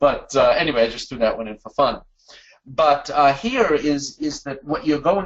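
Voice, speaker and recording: Here a man speaks with a Boston accent. His pitch is fairly high and his pace fairly quick. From US Northeast, Boston. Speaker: webinar presenter, management consultant. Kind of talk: webinar presentation. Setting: online webinar.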